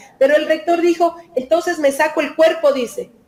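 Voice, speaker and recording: A woman talks at a fairly quick pace. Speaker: lawyer-activist, member of a legal collective. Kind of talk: interview. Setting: video call from her office.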